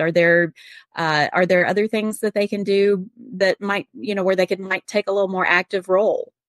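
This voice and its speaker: Heard in a very clean recording with a silent background and a dry, close sound with no echo, a woman uses a normal speaking voice at medium pitch and moderate pace. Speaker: podcast co-host. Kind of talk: podcast interview.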